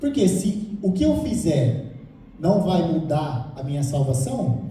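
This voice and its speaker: Noticeable background noise and audible room echo, with a fairly slow pace. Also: man. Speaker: lay preacher. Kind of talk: sermon.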